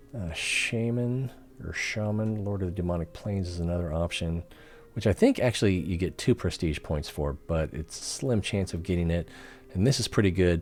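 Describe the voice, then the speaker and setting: In a very deep, low voice, a man speaks at a moderate pace with ordinary pitch variation. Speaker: gaming streamer. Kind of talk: live gameplay commentary.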